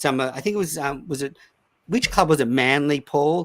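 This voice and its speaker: A man talks at a moderate pace. The sound is dry and close with no echo, on a very clean recording with a silent background. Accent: Australian. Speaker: cricket podcast host. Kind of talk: casual chat. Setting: live stream recording.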